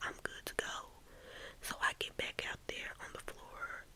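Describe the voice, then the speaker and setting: Noticeable background noise fills the clip. Beneath it, a woman whispers. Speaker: ASMR storyteller. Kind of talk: ASMR storytime. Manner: soft, whispered.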